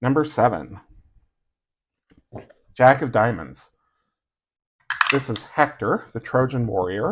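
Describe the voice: Hoarse and fairly slow, a man puts on a character voice at a medium pitch with lively intonation. He leaves long, frequent pauses.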